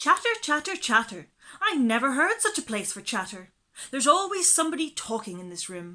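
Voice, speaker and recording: In a shrill, put-on character voice, the speaker races along at a fairly quick pace with very wide pitch swings and big swings in loudness. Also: woman, high pitch for a woman. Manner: complaining.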